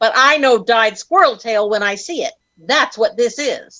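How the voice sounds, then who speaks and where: Sounding confident, a woman speaks at a moderate pace with a fairly high pitch. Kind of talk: 1930s radio comedy. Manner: brisk, skeptical, confident.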